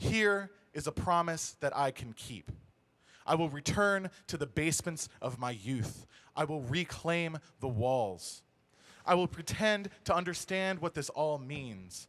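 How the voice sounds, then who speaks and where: An ordinary speaking voice, fairly slow in pace, with lively intonation. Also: man, fairly high pitch for a man. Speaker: spoken word poet. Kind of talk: spoken word poetry performance. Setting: live stage show.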